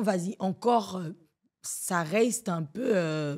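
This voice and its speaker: A woman's lively, varied intonation on a very clean recording with a silent background. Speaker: slam poet. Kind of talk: podcast interview.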